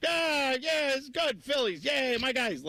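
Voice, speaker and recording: Speaking fairly slowly, a man uses a put-on character voice at an extremely high pitch. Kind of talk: casual, clueless. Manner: dopey, slack-jawed.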